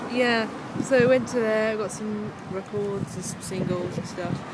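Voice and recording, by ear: Fairly even intonation over clear background noise. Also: woman.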